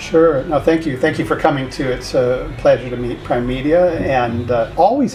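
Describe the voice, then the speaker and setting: A man with a medium-pitched voice talks at a moderate pace with ordinary pitch variation while music plays in the background. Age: 60s. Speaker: university founder and rector. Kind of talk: interview. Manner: conversational, many fillers.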